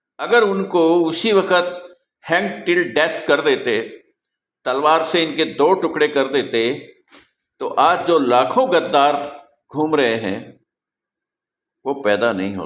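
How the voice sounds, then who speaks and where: Vocal fry from a man with a fairly high pitch and very wide pitch swings. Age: 70s. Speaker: spiritual teacher. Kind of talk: monologue. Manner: animated.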